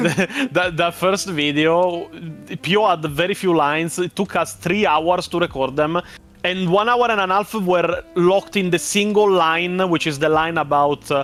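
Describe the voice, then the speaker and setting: Over music in the background, a high-pitched man speaks at a fairly slow pace with very even loudness and ordinary pitch variation. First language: not English. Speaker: lore content creator. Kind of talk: casual chat. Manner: halting.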